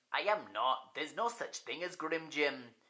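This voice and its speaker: Putting on a character voice, a man speaks at a moderate pace in a fairly high pitch. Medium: read story. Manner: nervous.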